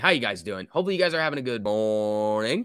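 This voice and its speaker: A man speaks with lively intonation. The sound is dry with no echo, and the background is quiet. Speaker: stock market streamer. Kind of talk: casual live stream commentary.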